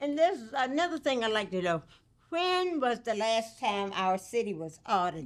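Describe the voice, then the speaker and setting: A woman's fairly high voice with an American accent and very wide pitch swings, on a very clean recording with a silent background. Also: moderate pace. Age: 80s+. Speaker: resident speaking at public comment. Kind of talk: public comment at council meeting. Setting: city council meeting.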